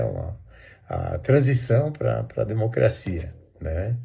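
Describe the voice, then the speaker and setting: Speaking at a very slow pace, a man with a medium pitch has a dark, mellow tone that is somewhat breathy. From southern Brazil, Santa Catarina interior. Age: 60s. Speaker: interviewee recalling the dictatorship. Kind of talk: oral history interview. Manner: hesitant, many fillers and repeats.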